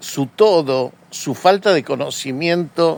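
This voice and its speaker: The man's pitch is fairly high. He uses ordinary pitch variation. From Argentina, Córdoba. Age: 60s. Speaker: journalist. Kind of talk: political commentary monologue. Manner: hesitant, frequent fillers.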